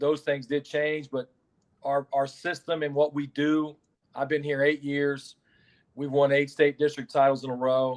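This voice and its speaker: A man with a fairly high voice speaks at a fairly slow pace. His intonation is flat and monotone, recorded dry and close with no echo. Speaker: high school basketball head coach. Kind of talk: interview. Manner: loud.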